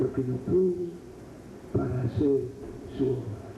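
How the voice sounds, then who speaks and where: A man's very slow speech carries audible room echo along with noticeable background noise. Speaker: preacher. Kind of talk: sermon. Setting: church retreat.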